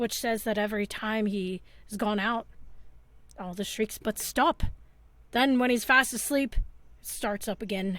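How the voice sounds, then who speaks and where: A woman puts on a character voice at a medium pitch. She talks at a moderate pace. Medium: actual play. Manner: chatty, folksy.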